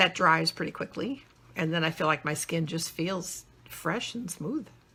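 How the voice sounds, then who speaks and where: Speaking at a moderate pace, a woman uses an ordinary speaking voice with a fairly low pitch. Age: 60s. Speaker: reviewer's mother. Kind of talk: casual live stream chat.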